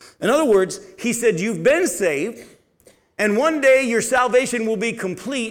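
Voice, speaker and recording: This man speaks at a fairly slow pace. His voice carries an audible room echo. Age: 50s. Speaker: pastor. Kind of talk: sermon.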